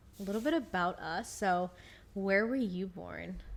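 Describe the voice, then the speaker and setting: A woman talks at a moderate pace and medium pitch. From California. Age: 20s. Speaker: podcast co-host. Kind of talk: casual chat. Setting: living room. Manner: animated.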